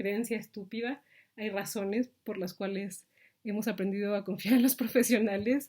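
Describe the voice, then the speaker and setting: A woman speaks at a moderate pace with a Mexican accent, her pitch medium and her intonation fairly even. The recording is very clean, with a silent background. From Mexico. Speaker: vlogger. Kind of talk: reflective monologue. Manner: halting, many fillers.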